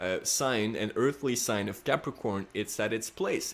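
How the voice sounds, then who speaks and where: A non-native accent at a moderate pace. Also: man. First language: not English. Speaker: astrology youtuber. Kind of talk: casual monologue. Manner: hesitant, many fillers.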